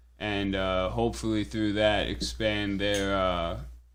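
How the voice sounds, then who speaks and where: Amid noticeable background noise and audible room echo, a man speaks at a fairly slow pace in a fairly low voice. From New England (Connecticut). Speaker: swap meet organizer. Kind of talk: casual podcast chat. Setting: podcast studio.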